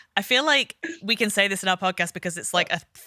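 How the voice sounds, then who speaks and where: A woman in an English accent, medium in pitch, with a bright, sharp tone and lively intonation, in a very clean, dry, close recording with a silent background and no echo. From northern England, Liverpool. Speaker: art therapist and podcast co-host. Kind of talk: casual chat.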